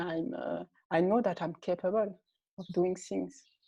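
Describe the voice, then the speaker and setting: Over a quiet background, a woman speaks at a fairly slow pace with a dark, mellow tone. Her medium pitch shows ordinary variation. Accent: non-native. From Mali and Senegal. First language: French. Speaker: art entrepreneur. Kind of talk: interview. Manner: halting, many hesitations.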